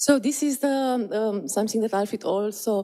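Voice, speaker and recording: A woman with a Romanian accent speaks at a fairly slow pace in a dark, mellow tone. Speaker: conference presenter, existential therapist. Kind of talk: conference presentation. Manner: halting, many fillers and repetitions.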